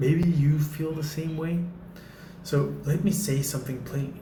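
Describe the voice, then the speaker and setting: At a moderate pace, a man speaks at a fairly high pitch in a room with audible echo and noticeable background noise. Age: 30s. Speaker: faith vlogger. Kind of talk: motivational talk to camera. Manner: casual, with filler words.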